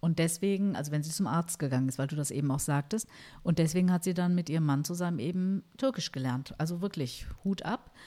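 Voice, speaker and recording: On a very clean recording with a silent background, a woman talks at a fairly quick pace in a fairly low pitch, her tone dark and mellow, with ordinary pitch variation. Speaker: podcast co-host. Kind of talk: casual chat. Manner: mumbling.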